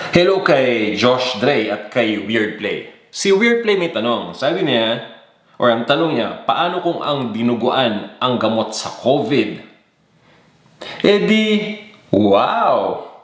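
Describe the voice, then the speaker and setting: Audible room echo surrounds a man who speaks at a very slow pace with long, frequent pauses. His pitch swings very widely. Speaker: cooking show host. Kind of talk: live chat greetings to viewers. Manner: casual.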